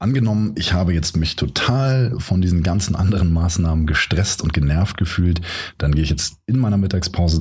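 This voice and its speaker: A man with a very deep, low pitch talks fairly quickly with ordinary pitch variation while noticeable background noise carries on. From Hamburg, northern Germany. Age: 30s. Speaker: podcast host, event manager. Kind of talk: solo podcast monologue, tutorial.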